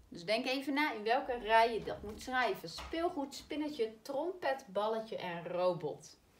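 A woman's fairly high voice moves through very wide pitch swings. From Netherlands. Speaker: primary school teacher. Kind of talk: spelling lesson for children. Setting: recorded video lesson. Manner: slow, clearly articulated. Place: classroom. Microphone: camera far.

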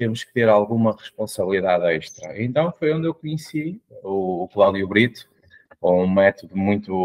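In a quiet background, a man with a European Portuguese accent speaks at a moderate pace and medium pitch with ordinary pitch variation. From Portugal. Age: 40s. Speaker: mentor and coach; coach. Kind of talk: interview. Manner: hesitant, with fillers. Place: home room. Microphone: video call.

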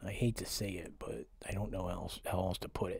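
A man's fairly low, somewhat breathy voice with an American accent, at a moderate pace. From Pennsylvania, US. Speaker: conspiracy vlogger. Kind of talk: vlog monologue. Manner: halting.

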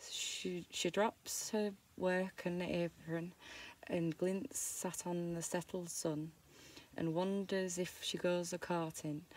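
A woman's fairly low voice with a Yorkshire accent and a dry sound with no echo. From Yorkshire, England. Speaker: amateur reader of dialect poetry. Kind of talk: dialect poetry reading. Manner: halting, stumbling over words. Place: home room.

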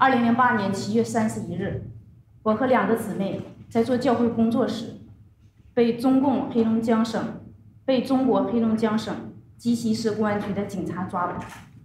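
A woman with a Chinese accent speaks at a moderate pace in a fairly high pitch, her intonation fairly even, with long, frequent pauses, audible room echo and noticeable background noise. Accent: Mandarin Chinese. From China. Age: 30s. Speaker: religious persecution survivor; witness. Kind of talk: testimony. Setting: conference panel with microphones. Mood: solemn, grave. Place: meeting room. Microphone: podium.

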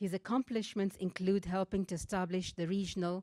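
Against a quiet background, a woman speaks at a moderate pace with fairly even intonation in a dry sound with no echo. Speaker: event moderator. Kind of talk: formal speaker introduction. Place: stage. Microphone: handheld.

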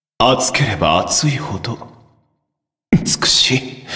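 A raspy, put-on character voice with slight echo. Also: man. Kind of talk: video game character lines. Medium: dub. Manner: proud, dignified.

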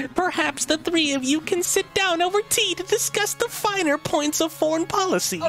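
A man uses a put-on character voice at an extremely high pitch. Clear background noise is present. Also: moderate pace.

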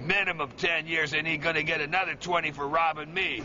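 At a fairly quick pace, a man with an American accent talks while noticeable background noise continues. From Chicago, USA. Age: 60s. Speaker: Vietnam veteran. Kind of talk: street interview answer. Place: street. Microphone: phone near.

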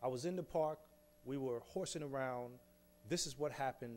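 This man talks at a fairly quick pace with a New York accent and ordinary pitch variation. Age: 40s. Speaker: exoneree, speaker; speaker. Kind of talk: public talk. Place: hall. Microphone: podium.

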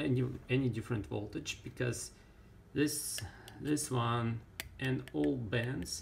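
A man with a non-native accent, very slow pace, long and frequent pauses, lively intonation and vocal fry, over light background noise. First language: not English. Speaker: ham radio hobbyist, electronics builder. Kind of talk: casual tutorial talk to camera. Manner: hesitant, many fillers. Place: workshop. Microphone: phone near.

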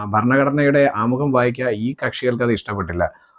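A man has an unremarkable speaking voice with ordinary pitch variation. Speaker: political commentator on a YouTube channel. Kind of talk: political commentary monologue.

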